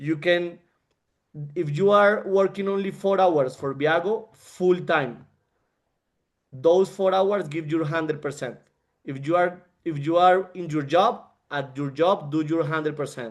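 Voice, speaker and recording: A man with a non-native accent and a high pitch, at a fairly slow pace, with ordinary pitch variation and long, frequent pauses. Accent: non-fluent English. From Colombia. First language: Spanish. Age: 30s. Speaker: network marketing leader and engineer. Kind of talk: motivational talk on a group call. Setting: group call. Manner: halting, with frequent repetitions.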